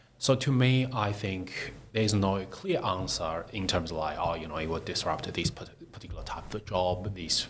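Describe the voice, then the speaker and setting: With a non-native accent, a man talks at a moderate pace in a very deep, low voice with ordinary pitch variation, against noticeable background noise. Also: hardly any pauses. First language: not English. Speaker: tech startup CEO. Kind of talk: interview. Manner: halting.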